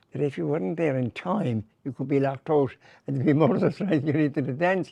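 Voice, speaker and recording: A man's fairly high-pitched voice with a Limerick accent, a dark, mellow tone and lively intonation, in a dry, close sound with no echo. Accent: Limerick Irish. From Ireland, Limerick. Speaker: comedian. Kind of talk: interview. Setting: hotel. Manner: halting.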